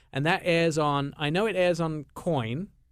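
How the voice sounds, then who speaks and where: A fairly high-pitched man at a fairly slow pace with ordinary pitch variation, on a very clean recording with a silent background. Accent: English. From England. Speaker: radio show host. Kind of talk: casual radio chat.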